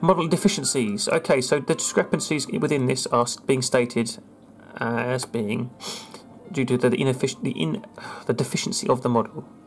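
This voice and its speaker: Music in the background with speech at a moderate pace. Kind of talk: casual screen-recorded commentary.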